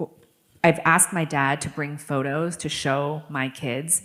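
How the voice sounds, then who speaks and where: A woman with an American accent speaks in a shaky voice. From New York City. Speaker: author. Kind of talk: interview.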